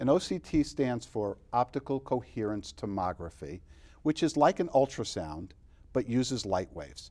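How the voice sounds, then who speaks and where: Against a quiet background, a man with an American accent speaks in a dark, mellow tone with vocal fry and lively intonation. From New York, Long Island; New York. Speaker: optometrist; guest. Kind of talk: interview. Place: studio. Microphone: lapel.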